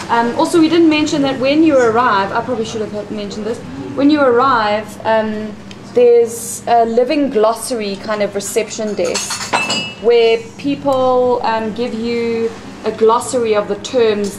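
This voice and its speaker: A woman's fairly high-pitched voice at a moderate pace with ordinary pitch variation, amid audible room echo and noticeable background noise. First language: not English. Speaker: workshop participant presenting group plan. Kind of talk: group presentation.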